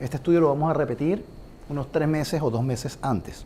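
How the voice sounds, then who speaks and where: Fairly high male pitch with a dark, mellow tone, vocal fry and lively intonation. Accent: Venezuelan. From Venezuela. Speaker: compensation consultant. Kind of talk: business presentation.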